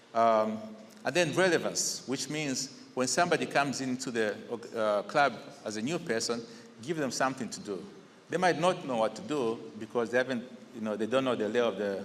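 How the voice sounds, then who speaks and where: Speech with a Zambian accent moves at a fairly quick pace with lively intonation and long, frequent pauses. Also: man, medium pitch for a man. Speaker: incoming district governor of a service club. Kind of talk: installation speech. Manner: conversational, with fillers.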